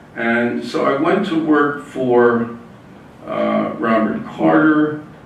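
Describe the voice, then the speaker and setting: Speaking very slowly, a man is heard with noticeable background noise and audible echo from the room. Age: 80s+. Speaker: author and civil rights lawyer. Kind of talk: author talk. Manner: hesitant, many fillers.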